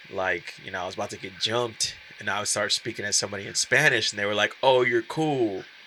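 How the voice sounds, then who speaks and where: Noticeable background noise sits behind the speech. It runs at a very fast pace with ordinary pitch variation. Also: man, fairly low pitch for a man. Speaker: guest, biracial man sharing his experience. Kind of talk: casual chat.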